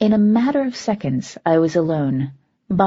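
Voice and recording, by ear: A quiet background behind lively intonation, read aloud in a natural voice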